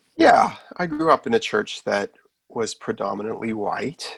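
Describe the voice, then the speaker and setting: A man with a Nova Scotian accent at a fairly slow pace, the sound dry and close with no echo. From Canada, Nova Scotia. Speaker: author. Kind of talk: podcast interview.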